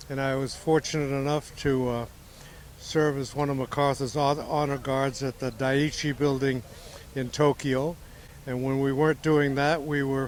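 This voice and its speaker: A man's fairly high voice, fairly slow and monotone, with noticeable background noise. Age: 90s. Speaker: war veteran. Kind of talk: testimony.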